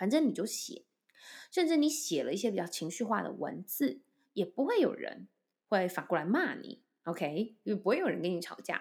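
A woman speaks with vocal fry and very wide pitch swings. The recording is very clean, with a silent background. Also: medium pitch for a woman, moderate pace. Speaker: voice and speech coach, podcast host. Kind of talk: solo podcast talk. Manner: relaxed, light humorous tone.

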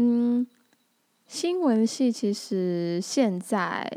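With a dark, mellow tone, a woman speaks in lively intonation. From Tainan, Taiwan (Anping). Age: 20s. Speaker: podcast host. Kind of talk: casual monologue.

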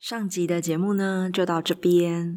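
The pitch of this woman's voice is fairly low. Her delivery moves at a moderate pace. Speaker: podcast host. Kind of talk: casual chat; scripted intro. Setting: video call.

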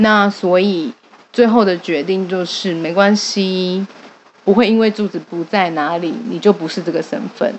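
Noticeable background noise sits behind a woman at medium pitch. She talks at a fairly slow pace with ordinary pitch variation. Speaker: clan association organizer and event emcee. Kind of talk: casual chat.

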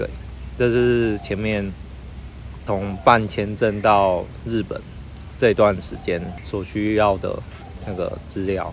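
With noticeable background noise and audible room echo, a man speaks at a very slow pace and a fairly low pitch, showing ordinary pitch variation and taking long, frequent pauses. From Taiwan. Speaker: student living abroad. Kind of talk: interview. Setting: outdoors in a park. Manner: halting.

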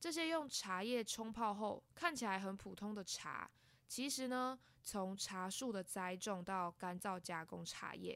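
A woman at a medium pitch speaks at a fairly slow pace with lively intonation. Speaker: podcast host. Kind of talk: scripted narration. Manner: soft-spoken.

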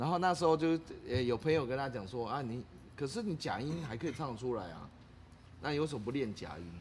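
At a fairly quick pace, a man speaks in a medium-pitched, somewhat breathy voice with lively intonation. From Taiwan, Taitung. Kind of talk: casual chat. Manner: animated, many fillers and laughs.

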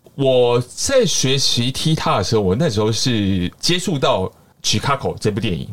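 Lively intonation at a fairly slow pace. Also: man, medium pitch for a man. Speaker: tap dancer and street performer. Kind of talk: casual interview chat. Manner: energetic, projecting loudly; animated, theatrical.

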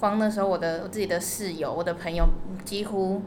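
A woman at a medium pitch speaks with fairly even intonation, with audible room echo and noticeable background noise around her. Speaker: travel agency worker. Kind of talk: interview.

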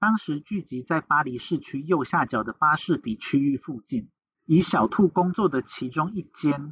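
Dry and close with no echo, the recording captures a man at a moderate pace. His pitch is fairly high and his intonation lively. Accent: Taiwanese. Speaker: podcast host. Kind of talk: true crime storytelling.

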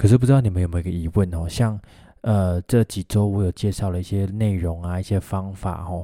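In a Taiwanese accent, a man with a very deep, low pitch and a dark, mellow tone talks at a fairly quick pace with fairly even intonation. The recording is very clean with a silent background and a dry, close sound with no echo. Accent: Taiwanese Mandarin. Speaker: physical therapist podcast host. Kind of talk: solo podcast monologue. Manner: casual, many fillers.

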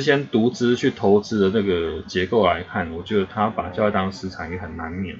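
Somewhat breathy speech at a moderate pace, in a Taiwanese accent. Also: man. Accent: Taiwanese Mandarin. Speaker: podcast host. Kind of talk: casual chat.

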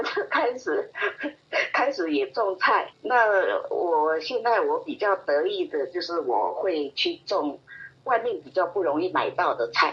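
Very slow speech from a woman, noticeable noise in the background. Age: old. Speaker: retiree, hobby gardener. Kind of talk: casual interview.

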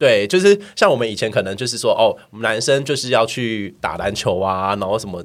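A man's normal speaking voice at medium pitch, with ordinary pitch variation, a fairly quick pace and hardly any pauses, in a very clean recording with a silent background. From Taiwan, Miaoli. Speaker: podcast guest. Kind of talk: casual chat.

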